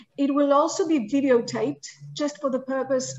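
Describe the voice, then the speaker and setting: A woman with a high voice talks at a moderate pace over light background noise. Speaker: session moderator. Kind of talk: moderating an online info session. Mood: friendly, welcoming. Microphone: video call.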